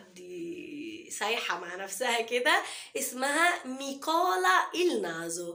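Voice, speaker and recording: A woman with a high pitch speaks in a raised, projected voice with very wide pitch swings. Audible room echo and noticeable background noise surround her. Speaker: Italian language teacher. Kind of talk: language tutorial.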